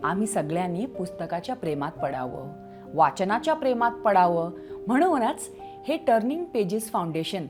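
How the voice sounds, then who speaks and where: A woman's voice moves through very wide pitch swings. Music plays in the background. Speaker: children's storyteller. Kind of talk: children's story read-aloud. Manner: high-energy, expressive.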